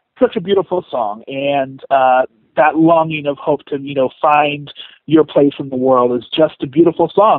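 In an ordinary speaking voice, a man with an American accent talks at a moderate pace, his fairly high pitch showing ordinary pitch variation. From San Diego, California. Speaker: theater director. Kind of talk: interview.

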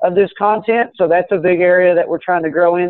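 A man with an American accent and a high pitch, with ordinary pitch variation, in a dry sound with no echo and a quiet background. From Kentucky. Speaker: cannabis business executive. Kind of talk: interview. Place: office. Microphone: video call.

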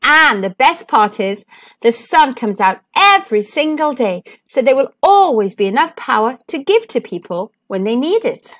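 A woman's put-on character voice, high-pitched and fairly bright, with big pitch swings, a moderate pace and few pauses

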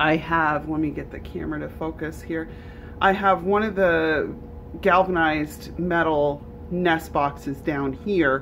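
Amid light background noise, a woman with a very deep, low pitch speaks at a fairly slow pace with fairly even intonation. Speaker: rabbit keeper. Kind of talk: casual vlog chat. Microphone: phone near.

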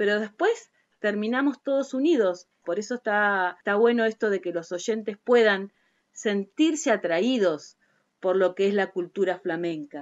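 Using lively intonation, a woman with an Argentine accent speaks at a medium pitch and a fairly slow pace. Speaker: podcast host. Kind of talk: interview questions.

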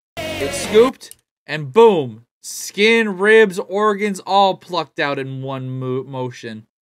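Over music in the background, a man's voice moves through very wide pitch swings. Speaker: reaction streamer. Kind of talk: casual reaction commentary. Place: home room.

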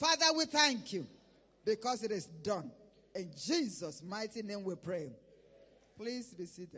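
A man's raised, projected voice, high in pitch and bright and sharp in tone, with very wide pitch swings, a fairly slow pace and long, frequent pauses. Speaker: prayer leader. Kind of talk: fervent prayer. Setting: church. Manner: urgent, exhorting. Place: church. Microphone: handheld.

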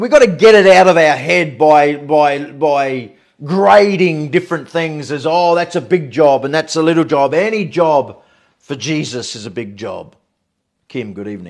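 Against a quiet background, a man with an Australian accent speaks with lively intonation and big swings in loudness. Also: fairly high pitch for a man, moderate pace. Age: 50s. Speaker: pastor. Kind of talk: online evening devotional. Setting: livestream. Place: home room. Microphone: phone near.

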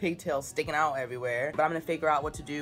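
A woman's very deep, low voice with fairly even intonation and faint music in the background. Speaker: vlogger. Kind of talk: casual vlog chat. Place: home room. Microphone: phone near.

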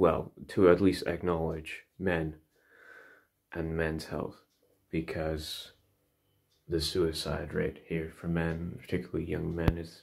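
Over noticeable background noise, a man talks at a fairly slow pace with a very deep, low pitch and a monotone, flat delivery. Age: 30s. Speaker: vlogger. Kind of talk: personal monologue. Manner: halting. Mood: reflective, thoughtful. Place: home room. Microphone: phone near.

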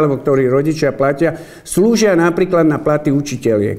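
The pace here is moderate. It is a man's voice, pitched fairly high. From Slovakia, Zlaté Moravce; Slovakia. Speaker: mayoral candidate; candidate. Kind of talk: campaign announcement. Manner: formal. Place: meeting room.

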